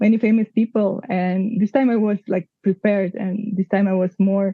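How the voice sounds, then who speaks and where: A woman's somewhat breathy voice in a flat monotone. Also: medium pitch for a woman, moderate pace. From Kazakhstan. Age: 30s. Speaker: cinematographer. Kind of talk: interview conversation. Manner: halting, many fillers.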